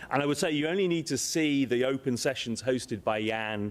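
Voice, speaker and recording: A man with an English accent, fairly quick in pace, with ordinary pitch variation. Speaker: space agency director. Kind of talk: conference speech. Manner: halting.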